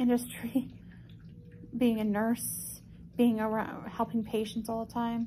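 A woman speaks in a weary tone with monotone, flat intonation. Her pace is fairly slow, with light background noise. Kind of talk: casual vlog chat. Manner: weary, low-energy patient voice. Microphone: phone near.

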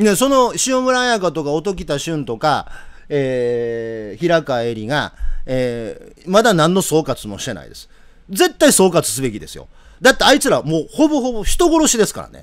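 A man in a Kansai accent, high-pitched and animated, with very wide pitch swings and big swings in loudness against a quiet background. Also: moderate pace. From Japan. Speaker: political commentator. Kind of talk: live commentary. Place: home room.

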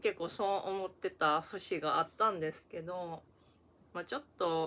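In a Kansai accent, a woman speaks at a fairly slow pace with a fairly low pitch and a bright, sharp tone. Her intonation is fairly even, and the recording is very clean, with a silent background. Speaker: YouTuber. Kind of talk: casual vlog review. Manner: casual, halting with fillers.

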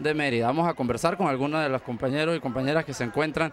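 The man's voice shows ordinary pitch variation, with a dry sound with no echo and light background noise. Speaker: community TV reporter. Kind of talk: news field report and interview questions. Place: hall. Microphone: handheld.

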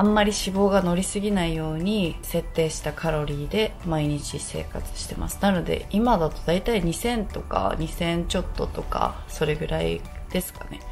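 A woman at a moderate pace with hardly any pauses, faint music in the background. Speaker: fitness vlogger. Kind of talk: casual vlog chat. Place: home room. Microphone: phone near.

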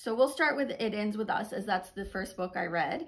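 A woman speaks somewhat breathily against a quiet background. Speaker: book reviewer. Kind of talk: casual vlog chat. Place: home room. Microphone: phone near.

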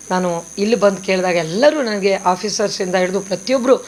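Noticeable background noise sits behind this recording. A woman speaks at a medium pitch. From northern Karnataka (raised in Basavana Bagewadi; born Chamarajanagar). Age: 60s. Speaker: stage and television actress. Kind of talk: press statement.

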